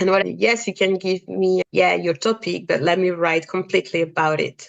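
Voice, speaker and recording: A woman speaks at a moderate pace with a French accent. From France, Cameroonian family. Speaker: freelance fashion writer. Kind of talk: podcast interview.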